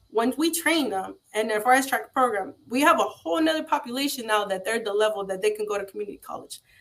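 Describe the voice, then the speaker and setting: With a Spanish accent, a woman talks at a very fast pace with hardly any pauses. Her voice is fairly high-pitched, and her intonation is lively. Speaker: trade school founder. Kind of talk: interview. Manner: halting, many fillers.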